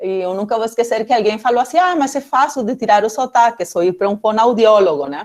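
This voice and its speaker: A woman with a Peruvian accent speaks very fast at a fairly high pitch, with hardly any pauses. Her intonation is lively. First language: Spanish (speaking Portuguese). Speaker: political scientist, guest lecturer. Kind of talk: academic talk. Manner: halting, many fillers.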